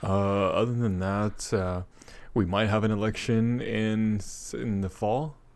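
Fairly low in pitch, a man talks in an unremarkable speaking voice. He goes at a fairly slow pace with fairly even intonation. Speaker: guest podcaster. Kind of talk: casual chat.

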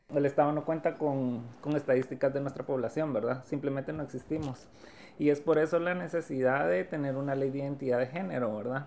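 Moving at a fairly quick pace, a woman speaks in a very deep, low pitch. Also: ordinary pitch variation. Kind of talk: interview.

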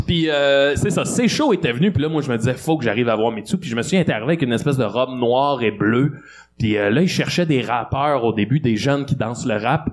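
A man speaks in a plain, everyday voice at a medium pitch. His pace is fairly quick, with ordinary pitch variation. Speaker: comedian. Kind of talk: casual chat. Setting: stage with audience.

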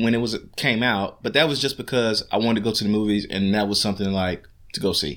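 A very fast man at a medium pitch, on a very clean recording with a silent background. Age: 30s. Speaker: podcast co-host, father. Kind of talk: casual chat.

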